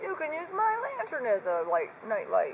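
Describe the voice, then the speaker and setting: This is a loud, put-on character voice at an extremely high pitch. Background noise is clearly audible. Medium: read story. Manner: exuberant, loud.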